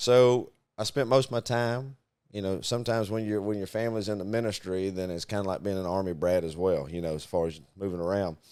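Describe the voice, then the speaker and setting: A man with a Southern US accent talks at a very fast pace, his pitch fairly low with ordinary variation. The recording is very clean, with a silent background. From US Deep South (Arkansas, Mississippi, Louisiana). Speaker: podcast co-host, business owner. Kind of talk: casual chat.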